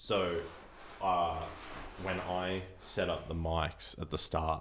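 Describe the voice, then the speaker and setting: At a very slow pace, a man speaks with a very deep, low pitch and monotone, flat intonation. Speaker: podcast host. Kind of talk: casual chat. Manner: loud.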